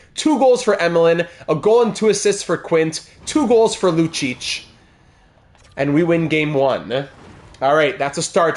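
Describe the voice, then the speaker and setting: A man talks at a fairly slow pace in a high pitch, his tone animated and his intonation lively. His loudness stays very even throughout. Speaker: gaming streamer. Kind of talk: live gameplay commentary.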